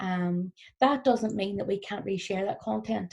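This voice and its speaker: A woman speaks in a Northern Irish accent. Her pitch is medium. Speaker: business trainer. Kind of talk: recorded workshop presentation. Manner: fast.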